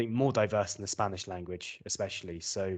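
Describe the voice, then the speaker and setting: Over a quiet background, a man with a southern British accent talks at a fairly quick pace in a fairly low pitch. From southern England. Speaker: English teacher. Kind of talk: interview.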